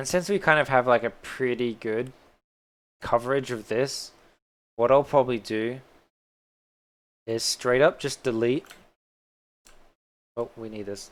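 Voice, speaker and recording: On a very clean recording with a silent background, a man with an Australian accent speaks at a fairly slow pace in a medium pitch, with ordinary pitch variation, long, frequent pauses and big swings in loudness. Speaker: 3D modelling streamer. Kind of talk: live-stream tutorial. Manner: casual, chatty.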